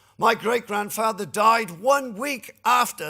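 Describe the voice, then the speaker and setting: A man speaks at a fairly slow pace in a Welsh accent, his tone bright and sharp, on a very clean recording with a silent background. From Wales (Cardiff). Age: 60s. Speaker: trade union leader. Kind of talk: lecture.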